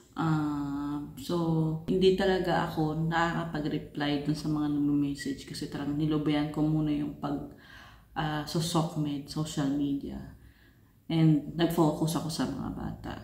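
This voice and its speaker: Soft-spoken and fairly slow, a woman talks in a dark, mellow tone at a very deep, low pitch with monotone, flat intonation, and room echo is audible. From Philippines. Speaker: family vlogger. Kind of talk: casual vlog update. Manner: soft-spoken, lowered voice.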